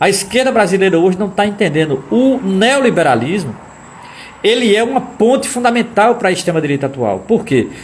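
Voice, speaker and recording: With very even loudness and audible room echo, a man talks in an animated tone at a high pitch. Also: lively intonation. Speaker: political commentator / lecturer. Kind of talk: live-stream lecture. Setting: live stream. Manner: fast.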